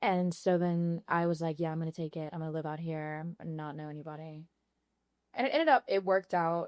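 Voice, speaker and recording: With an American accent, a woman speaks at a fairly quick pace in a fairly low voice, with big swings in loudness and a dry, close sound with no echo over a quiet background. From Louisiana, small town near Baton Rouge. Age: 20s. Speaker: podcast guest, former freight broker. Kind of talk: casual chat. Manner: animated.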